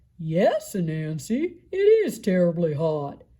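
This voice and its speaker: A female-sounding voice puts on a character voice at a middle pitch. She speaks at a fairly slow pace. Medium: read story.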